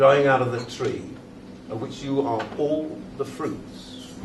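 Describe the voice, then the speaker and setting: With an RP accent, a man speaks at a very slow pace amid noticeable background noise and audible room echo. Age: 80s+. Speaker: retired classics teacher. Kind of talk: after-dinner speech. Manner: formal.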